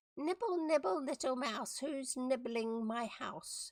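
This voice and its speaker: A put-on character voice, female-sounding, high and shrill, is delivered at a fairly slow pace. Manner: cackling, sinister.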